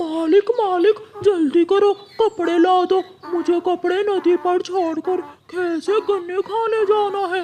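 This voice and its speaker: A cartoonish character voice squeaks along at an extremely high pitch. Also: fairly slow pace. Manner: whiny, repetitive.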